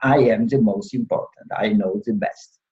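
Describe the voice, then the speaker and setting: With a Polish accent and a dark, mellow tone, a man speaks at a moderate pace with lively intonation. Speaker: law professor and former judge. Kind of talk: interview. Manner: halting, many fillers.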